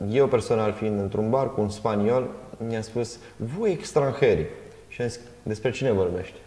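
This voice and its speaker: With audible room echo around him, a man speaks using ordinary pitch variation. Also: moderate pace. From Romania. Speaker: talk show host. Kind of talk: interview. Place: studio.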